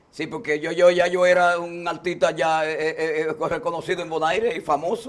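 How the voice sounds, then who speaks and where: A man's high-pitched voice with fairly even intonation and hardly any pauses. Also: moderate pace. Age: 60s. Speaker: singer. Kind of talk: casual chat. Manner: halting.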